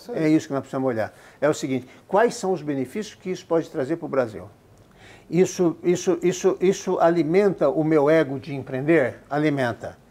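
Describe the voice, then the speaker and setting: A man's fairly high voice, dark and mellow in tone, with ordinary pitch variation and a moderate pace. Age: 70s. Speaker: business founder. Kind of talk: interview.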